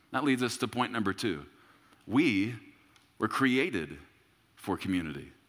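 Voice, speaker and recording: Speaking at a moderate pace with long, frequent pauses, a man with a medium pitch and vocal fry makes very wide pitch swings on a very clean recording with a silent background. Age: 30s. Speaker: pastor. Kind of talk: sermon. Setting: church service with congregation.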